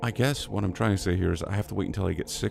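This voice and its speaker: A man rattles along at a very fast pace as music plays behind him. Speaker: livestreamer. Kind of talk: casual livestream chat. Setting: livestream.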